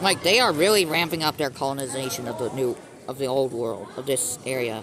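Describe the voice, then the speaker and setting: The speaker moves at a fairly quick pace against noticeable background noise. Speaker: mapping video narrator. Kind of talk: video commentary. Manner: stutters, halting; casual, filler-heavy.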